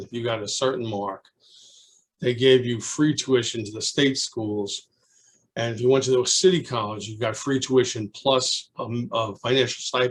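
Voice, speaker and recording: A man with a Brooklyn accent speaks at a moderate pace in a somewhat breathy, medium-pitched voice with fairly even intonation. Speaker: retired teacher, alumnus. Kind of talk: oral history interview. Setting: video call. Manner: halting.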